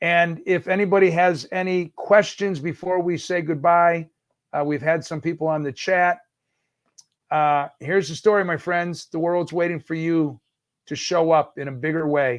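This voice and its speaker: A man with an American accent and a high pitch, on a very clean recording with a silent background. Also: moderate pace. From New York, Brooklyn. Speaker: event producer and livestream host. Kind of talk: livestream talk, motivational. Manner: animated.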